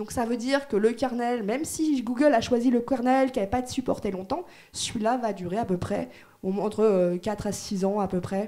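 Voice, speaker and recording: A woman's fairly high voice with a dark, mellow tone and ordinary pitch variation. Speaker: conference speaker on Android security. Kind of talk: technical conference talk. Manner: fast; casual, hesitant with fillers.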